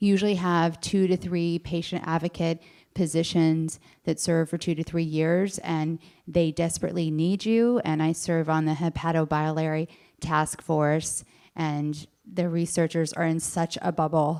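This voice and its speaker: In a very clean recording with a silent background, a woman uses a normal speaking voice, fairly low in pitch, at a fairly slow pace with fairly even intonation. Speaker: patient advocate, nonprofit founder. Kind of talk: audience comment at panel.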